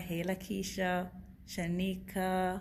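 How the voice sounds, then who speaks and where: Audible room echo surrounds a woman at medium pitch. Her voice is somewhat breathy. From Jamaica, Kingston. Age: 20s. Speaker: network marketing director. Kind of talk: testimony; sales pitch. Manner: enthusiastic.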